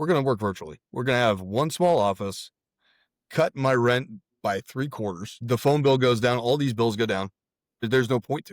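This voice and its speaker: Dry and close with no echo, a man with an unremarkable speaking voice talks at a moderate pace, his intonation lively and his loudness swinging widely. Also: medium pitch for a man, very clean recording, silent background. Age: 40s. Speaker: real estate investor and military veteran. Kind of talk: casual interview chat.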